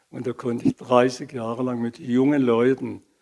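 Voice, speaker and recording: A man with a dark, mellow tone speaks at a very slow pace on a very clean recording with a silent background. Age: 80s+. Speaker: retired movement therapist and sports teacher. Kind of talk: interview.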